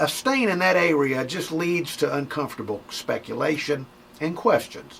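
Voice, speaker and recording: Over noticeable background noise, a man with a Southern US accent speaks at a fairly slow pace. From Mobile, Alabama. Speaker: radio personality. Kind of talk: comedic advice talk.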